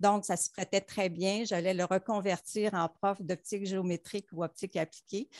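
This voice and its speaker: A woman speaks at a moderate pace with monotone, flat intonation and hardly any pauses. The sound is dry with no echo, and the background is quiet. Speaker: optometrist; panelist. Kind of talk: panel discussion. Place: home room. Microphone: headset.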